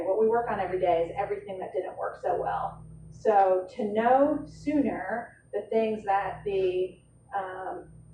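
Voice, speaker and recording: Audible room echo and noticeable background noise surround the voice. A woman speaks at a medium pitch. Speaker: healthcare finance director presenting at a conference. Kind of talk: conference presentation. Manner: fast, conversational with fillers.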